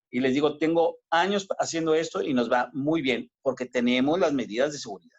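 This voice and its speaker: This man has an unremarkable speaking voice, fairly high in pitch, with ordinary pitch variation, a moderate pace and hardly any pauses. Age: 50s. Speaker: obstetrician-gynecologist. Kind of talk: interview.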